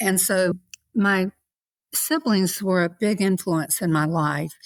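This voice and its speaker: In a Southern US accent, a woman at medium pitch talks at a very slow pace with very even loudness. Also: ordinary pitch variation, very clean recording, silent background. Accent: Southern US (Georgia). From US South, Savannah, Georgia. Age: 60s. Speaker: podcast guest. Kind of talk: interview, personal testimony.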